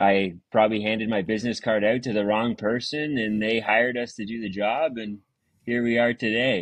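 A man with an Ontario accent speaks at a medium pitch with fairly even intonation, in a quiet background. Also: moderate pace. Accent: Canadian (Ontario). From Ontario, Canada. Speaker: excavation business owner. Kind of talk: casual interview chat. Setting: remote video call.

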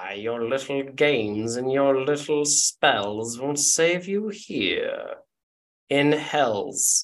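A man puts on a character voice at a fairly high pitch. He speaks very slowly. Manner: menacing, taunting.

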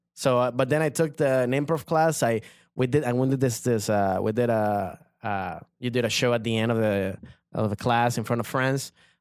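The recording is very clean with a silent background, and a man with a Spanish accent speaks at medium pitch. His pace is moderate, his pitch variation ordinary and his loudness very even. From Venezuela. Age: 30s. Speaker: comedian. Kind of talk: casual chat.

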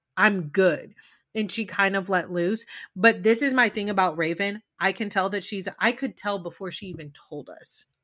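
With a bright, sharp, animated tone, a woman at medium pitch talks at a moderate pace with big swings in loudness on a very clean recording with a silent background. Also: ordinary pitch variation. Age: 30s. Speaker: podcast host. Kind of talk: casual chat.

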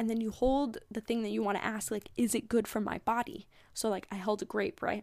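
A woman with an ordinary speaking voice, fairly high pitch, ordinary pitch variation and a fairly quick pace. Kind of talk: pep talk. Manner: warm, earnest and encouraging, with a gentle, reassuring spiritual-coach tone.

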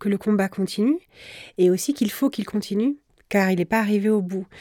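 A woman's fairly high voice with a dark, mellow tone, in a very clean recording with a silent background. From France, Brittany (Rennes). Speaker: journalist and editor. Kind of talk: interview. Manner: halting.

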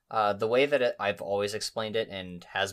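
A man's fairly low voice, an ordinary speaking voice with ordinary pitch variation, at a fairly quick pace in a very clean recording over a silent background. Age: 20s. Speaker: YouTube gaming content creator. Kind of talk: casual podcast interview.

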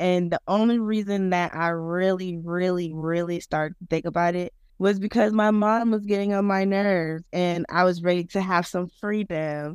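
A medium-pitched woman with an American accent, fairly slow and fairly even in intonation, on a very clean recording with a silent background. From South Florida, Broward County. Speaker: third grade teacher. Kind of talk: casual interview.

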